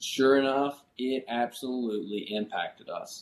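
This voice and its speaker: With a Kentucky accent, a man speaks at a medium pitch. His intonation stays fairly even. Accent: Kentucky Southern American. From Kentucky, US. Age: 20s. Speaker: pastor. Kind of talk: interview.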